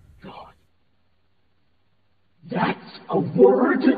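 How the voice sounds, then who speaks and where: A man puts on a character voice pitched high, with a strong echo around it. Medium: dub. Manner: exasperated.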